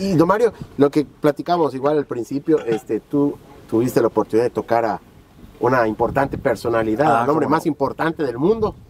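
With lively intonation and a fairly quick pace, a man speaks in a dry sound with no echo over light background noise. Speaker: journalist. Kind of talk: interview host. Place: waterside.

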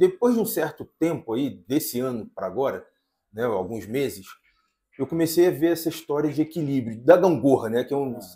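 A man speaks at a moderate pace with a dark, mellow tone and a fairly high pitch. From Brazil. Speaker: podcast host. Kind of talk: casual podcast chat. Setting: cafe, recording on location. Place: studio. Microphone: lapel.

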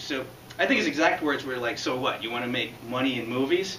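Amid light background noise and audible room echo, a man speaks very fast with ordinary pitch variation. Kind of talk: prepared public speech. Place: classroom. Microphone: camera far.

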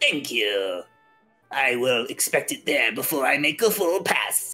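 In a put-on character voice pitched low to middle, the speaker goes at a fairly slow pace over faint background music. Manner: pompous, jolly, condescending.

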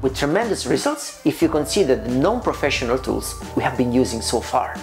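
A man speaks with faint music in the background. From Italy. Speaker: pizza maker. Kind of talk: casual talk to camera. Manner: upbeat. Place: kitchen. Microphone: lapel.

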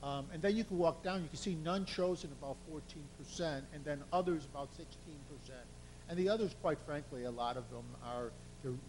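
A man talks fairly quickly in a room with audible echo. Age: 60s. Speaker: survey consultant presenting results. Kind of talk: presentation to city council.

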